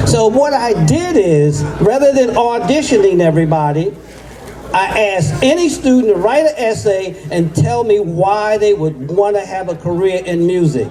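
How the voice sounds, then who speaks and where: A moderate pace in an American accent, with noticeable background noise. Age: 80s+. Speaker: jazz music educator. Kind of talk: ceremony speech.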